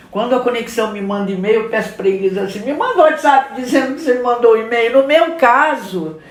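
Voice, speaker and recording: Audible room echo and noticeable background noise accompany this recording. A woman speaks in a high pitch with ordinary pitch variation. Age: 60s. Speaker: communication and marketing specialist. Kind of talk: casual podcast conversation.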